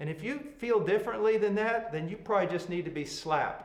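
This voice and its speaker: A man with a high voice speaks at a moderate pace, his intonation lively, with audible echo from the room. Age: 60s. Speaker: preacher and Bible teacher. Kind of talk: Bible teaching to pastors. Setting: video call. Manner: blunt, emphatic.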